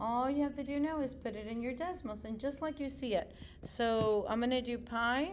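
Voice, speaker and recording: This woman talks at a fairly quick pace in a high voice with ordinary pitch variation. The room echo is audible. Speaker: middle school math teacher. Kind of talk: tutorial.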